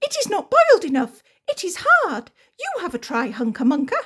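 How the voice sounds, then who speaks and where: A woman's squeaky, put-on character voice, extremely high in pitch, with very wide pitch swings at a moderate pace. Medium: read story.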